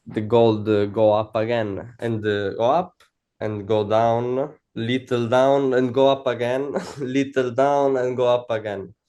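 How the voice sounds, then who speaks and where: Speaking in an Italian accent, a man has a dark, mellow tone, fairly even intonation and a fairly slow pace. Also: medium pitch for a man. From Italy. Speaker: funded trader. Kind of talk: interview. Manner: halting, many fillers.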